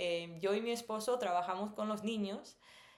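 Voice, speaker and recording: A woman with a mid-range voice talks fairly slowly, her pitch shifting in an ordinary way. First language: English (speaking Spanish). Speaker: missionary and language teacher vlogger. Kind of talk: personal storytelling. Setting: recording at home at night. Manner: many filler sounds.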